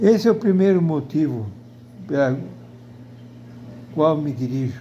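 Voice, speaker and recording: A man's fairly high-pitched voice, dark and mellow in tone and somewhat breathy, with lively intonation at a fairly slow pace amid audible room echo. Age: 80s+. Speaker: video blogger. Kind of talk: personal opinion monologue. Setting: at home in front of television. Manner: halting.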